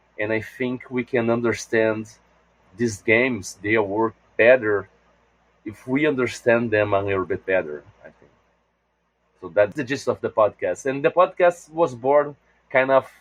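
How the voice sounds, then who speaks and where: A man at medium pitch and a moderate pace with a Portuguese accent, big swings in loudness, long, frequent pauses, and a dry, close sound with no echo. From Brazil. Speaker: game designer and podcaster. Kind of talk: interview.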